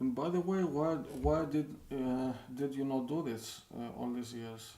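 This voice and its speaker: Audible room echo surrounds a man with a non-native accent who speaks at a fairly high pitch, with ordinary pitch variation and a fairly slow pace. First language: not English. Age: 40s. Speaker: indie game developer and streamer. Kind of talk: live stream chat with viewers. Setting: live stream. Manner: halting, many hesitations and repeats. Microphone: poor microphone.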